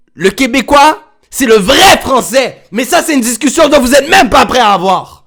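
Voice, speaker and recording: With a Montreal accent, a man speaks at an extremely high pitch with lively intonation. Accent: Montreal Quebec French. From Quebec, Montreal. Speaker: streamer reacting to video. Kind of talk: casual livestream reaction chat. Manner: animated.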